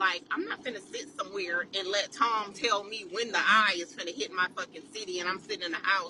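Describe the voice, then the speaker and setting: A woman of medium pitch speaks in an animated tone at a moderate pace against noticeable background noise. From California. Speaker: social media poster. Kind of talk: casual rant to camera.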